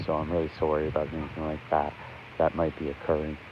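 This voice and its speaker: A man speaks quietly at a very fast pace. His very deep, low voice stays monotone and flat. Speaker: livestreamer covering local event. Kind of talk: live stream commentary. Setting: outdoors in rain at ceremony. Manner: quiet, talking low.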